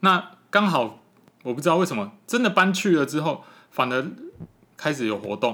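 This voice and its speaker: The man's tone is bright and sharp. His pitch moves through very wide swings. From Taipei, Taiwan. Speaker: children's picture book illustrator. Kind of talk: interview.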